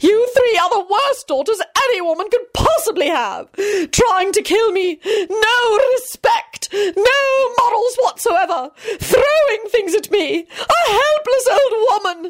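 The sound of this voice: A woman in a put-on character voice talks slowly at an extremely high pitch, with lively intonation and few pauses.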